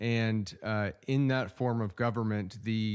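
Recorded very cleanly against a silent background, a man with a plain, everyday voice and an American accent speaks at a moderate pace, with medium pitch and fairly even intonation. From Oklahoma. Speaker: city manager. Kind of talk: radio interview.

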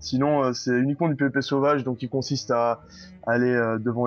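With a normal speaking voice, a man keeps a moderate pace, a medium pitch and fairly even intonation. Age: 20s. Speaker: gamer and streamer. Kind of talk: interview.

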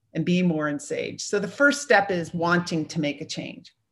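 Over a quiet background, a woman's somewhat breathy voice shows ordinary pitch variation. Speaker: mindset coach and retired navy executive. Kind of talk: interview.

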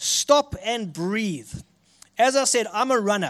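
On a very clean recording with a silent background, a man speaks at a very slow pace with a high pitch and a South African accent. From South Africa, Richards Bay. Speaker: guest preacher. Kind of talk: sermon. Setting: church.

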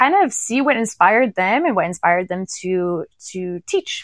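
A woman in a plain, everyday voice, medium-pitched with an American accent, dry and close with no echo, over a quiet background. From United States. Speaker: dance fitness instructor. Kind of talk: casual interview chat.

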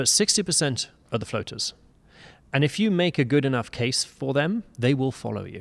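A man's fairly high, lively voice with a British accent at a moderate pace, in a very clean recording with a silent background. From UK. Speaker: business executive and fundraising consultant. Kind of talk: interview. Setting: conference venue.

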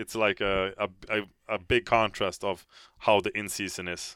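A man with a Swedish accent talks at a fairly low pitch. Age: 30s. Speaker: professional hockey goaltender. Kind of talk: interview. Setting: studio.

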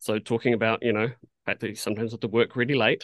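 In a New Zealand accent, a man talks with a dry, close sound and no echo. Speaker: animation art director. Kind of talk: casual interview chat. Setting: video call.

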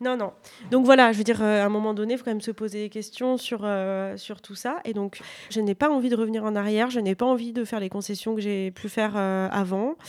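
Over a silent background in a very clean recording, a woman talks at a fairly quick pace with a fairly high pitch and fairly even intonation. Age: 30s. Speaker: author. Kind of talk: interview.

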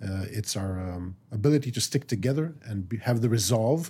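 Recorded very cleanly over a silent background, a man speaks in a somewhat breathy voice. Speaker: military reserve colonel and strategist. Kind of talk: interview. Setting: studio.

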